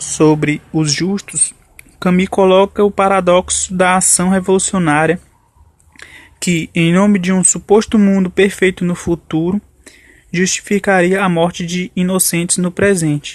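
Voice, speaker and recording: Dry and close with no echo, a man's high-pitched voice moves at a fairly slow pace in a monotone, flat intonation. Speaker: author discussing his book. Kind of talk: radio interview answer.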